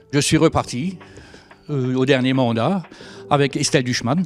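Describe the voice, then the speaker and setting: Music in the background behind a man's fairly slow delivery. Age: 60s. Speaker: mayor. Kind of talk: interview. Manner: halting, many hesitations.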